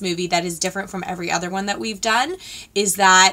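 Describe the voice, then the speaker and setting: Speaking at a very fast pace, a woman talks. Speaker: beauty vlogger. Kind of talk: casual vlog chat. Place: home room.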